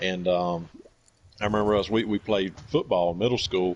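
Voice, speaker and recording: With a Southern US accent, a man talks fairly quickly in a very deep, low voice. His intonation stays fairly even. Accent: country Southern. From US South, Georgia. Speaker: gamer streaming with friends. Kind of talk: casual chat. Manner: halting, many fillers.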